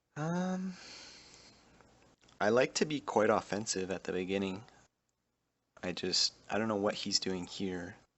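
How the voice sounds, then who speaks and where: A soft-spoken man with a fairly low pitch talks at a fairly slow pace, using lively intonation and long, frequent pauses. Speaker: gaming youtuber. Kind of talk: gameplay commentary. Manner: soft-spoken, under breath.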